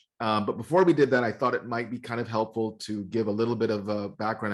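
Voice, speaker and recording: Against a quiet background, a man speaks at a very fast pace with hardly any pauses. His pitch is fairly low. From Jamaica, Kingston. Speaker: music producer and DJ, software specialist. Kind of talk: online masterclass. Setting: video call from home studio. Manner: casual, many fillers.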